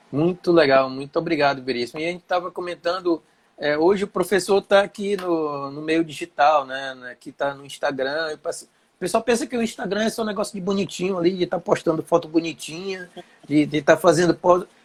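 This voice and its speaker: High in pitch for a man, this fairly quick speaker shows big swings in loudness in a dry, close sound with no echo. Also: ordinary pitch variation. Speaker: shrimp farming teacher. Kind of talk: live stream chat. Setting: live Instagram stream.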